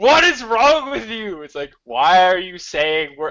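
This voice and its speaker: A man speaks with very wide swings in pitch. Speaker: gaming podcast panelist. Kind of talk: casual chat. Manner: loud; animated, excitable. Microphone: mic badly placed.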